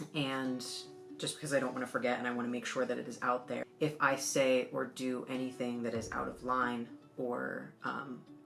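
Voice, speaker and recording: Music plays in the background as the speech moves at a moderate speed. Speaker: witchcraft vlogger. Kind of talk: casual chat. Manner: animated.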